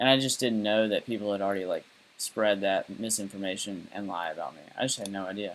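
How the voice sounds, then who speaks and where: A very fast, fairly low-pitched male voice with a Southern US accent, fairly even intonation and big swings in loudness. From US South. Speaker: live streamer. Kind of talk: casual monologue. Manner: rambling, many fillers.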